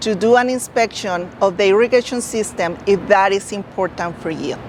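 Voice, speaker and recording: In a non-native accent, a woman speaks at a fairly high pitch with ordinary pitch variation. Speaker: real estate agent. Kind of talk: informational talk to camera.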